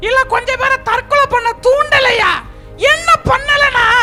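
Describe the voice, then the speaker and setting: A put-on character voice at a fairly slow pace with clear music in the background. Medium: stage play. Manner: gloating, boastful, laughing.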